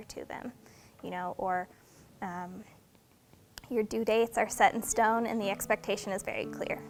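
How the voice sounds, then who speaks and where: A woman speaks at a medium pitch and moderate pace. Her intonation is monotone and flat. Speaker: mechanical engineer. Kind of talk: interview. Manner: many filler ums.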